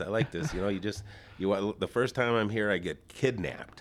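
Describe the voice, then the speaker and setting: This man talks at a fairly quick pace. His pitch is medium. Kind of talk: casual chat. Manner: loud.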